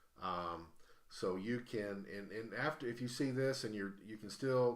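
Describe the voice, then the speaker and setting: A man speaks with an American accent at a moderate pace. There is audible echo from the room. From US South. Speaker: live-stream host and auctioneer. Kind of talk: casual live-stream chat. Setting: live stream from a game cafe. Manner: halting, many fillers and restarts.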